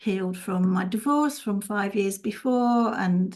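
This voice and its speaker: Using a normal speaking voice, a woman talks fairly slowly at a medium pitch, with ordinary pitch variation. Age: 60s. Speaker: holistic healer and teacher. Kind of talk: interview.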